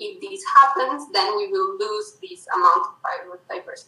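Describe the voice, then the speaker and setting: With a Spanish accent, a woman projects a raised voice in a bright, sharp tone at a fairly slow pace. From Colombia. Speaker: mathematician. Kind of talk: interview.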